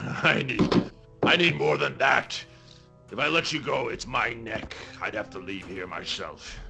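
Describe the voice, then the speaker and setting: At a moderate pace, a man puts on a raspy character voice at a medium pitch with clear music in the background. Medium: actual play. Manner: gruff, simple.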